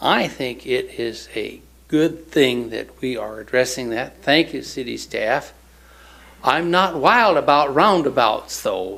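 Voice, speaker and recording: Audible room echo surrounds a man at medium pitch who speaks very slowly with vocal fry, lively intonation and a bright, sharp tone. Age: 60s. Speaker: public commenter. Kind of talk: public comment. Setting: city council meeting.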